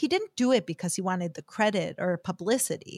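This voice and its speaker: Recorded very cleanly against a silent background, a woman with an American accent speaks in a dry, close sound with no echo. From United States. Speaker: podcast host and religious teacher. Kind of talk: scripted teaching talk.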